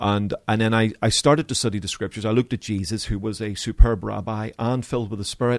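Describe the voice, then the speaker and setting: With a slight Belfast accent, a man rattles along at a very fast pace with hardly any pauses and fairly even intonation, the sound dry and close with no echo. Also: medium pitch for a man. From Northern Ireland, Belfast. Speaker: pastor. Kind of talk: interview. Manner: halting.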